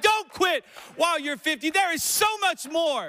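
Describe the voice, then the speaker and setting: Raised and projected, a man's voice carries a bright, sharp, animated tone at a moderate pace. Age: 40s. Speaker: pastor. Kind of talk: sermon. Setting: church with congregation.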